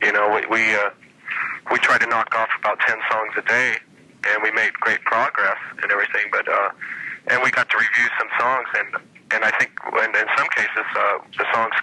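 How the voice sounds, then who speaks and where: A man at a moderate pace with very even loudness, over noticeable background noise. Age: 40s. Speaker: musician, keyboardist. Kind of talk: interview answer. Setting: phone line.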